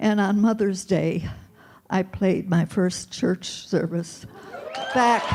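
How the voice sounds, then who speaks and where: Amid noticeable background noise, a woman of medium pitch speaks very slowly with long, frequent pauses, fairly even intonation and very even loudness. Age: 80s+. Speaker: seminar participant. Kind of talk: testimony.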